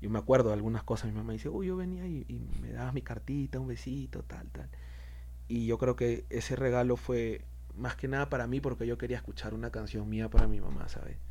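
A man's very deep, low, somewhat breathy voice, dark and mellow in tone, fairly quick and flat in intonation, with audible room echo. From Peru. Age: 30s. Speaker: rapper. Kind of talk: interview. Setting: studio.

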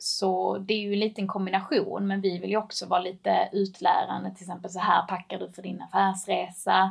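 The speech runs at a fairly quick pace with hardly any pauses and big swings in loudness, against noticeable background noise. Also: woman. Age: 20s. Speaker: e-commerce manager. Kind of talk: casual interview.

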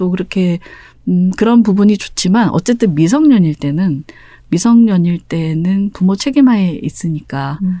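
At a fairly slow pace, a woman with a medium pitch speaks in a calm, soothing, dark and mellow tone with lively intonation. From Busan, South Korea. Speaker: novelist. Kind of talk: interview.

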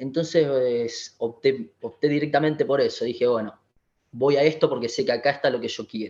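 A man talks in a plain, everyday voice. His pace is moderate and his intonation fairly even. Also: fairly high pitch for a man. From Argentina, Buenos Aires western suburbs. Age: 20s. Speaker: physiotherapist. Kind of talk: interview.

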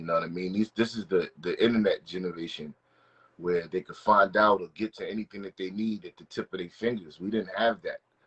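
He has a normal speaking voice and an American accent. His pitch is fairly low, and his pace is moderate. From New Jersey (Englewood). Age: 30s. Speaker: rapper. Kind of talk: casual interview.

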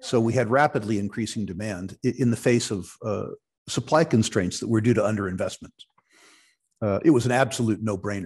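A man's unremarkable speaking voice at medium pitch, with a fairly quick pace and ordinary pitch variation. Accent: American. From United States. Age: 60s. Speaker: retired investment executive and resource investor. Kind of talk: interview.

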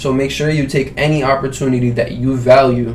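A man speaks at a fairly quick pace and medium pitch in a monotone, flat intonation, with noticeable background noise and audible room echo. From Iraq (Baghdad). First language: Arabic. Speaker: entrepreneur and event organizer. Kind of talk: casual interview chat.

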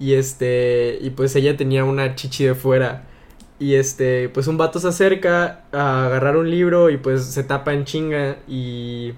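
With an ordinary speaking voice, a man talks at a fairly slow pace and a medium pitch, his intonation fairly even. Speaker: youtuber. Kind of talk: casual chat.

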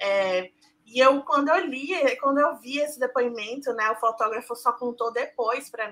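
A woman speaks at a moderate pace in a high pitch with a bright, sharp tone, ordinary pitch variation and big swings in loudness. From Brazil, Salvador (Bahia). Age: 20s. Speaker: journalist. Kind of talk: casual chat.

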